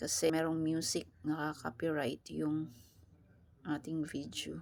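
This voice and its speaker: A woman's very deep, low voice with vocal fry, fairly even intonation and a fairly slow pace, on a very clean recording with a silent background. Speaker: vlogger. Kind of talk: vlog voice-over. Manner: casual.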